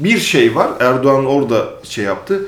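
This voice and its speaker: With audible room echo, a man speaks at a moderate pace in a fairly high pitch with lively intonation. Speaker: magazine editor-in-chief. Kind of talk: interview conversation.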